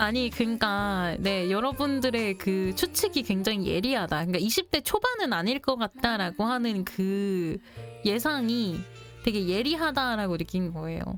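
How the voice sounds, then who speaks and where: Over music in the background, a woman speaks at a moderate pace with a medium pitch and lively intonation. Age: 30s to mid 40s.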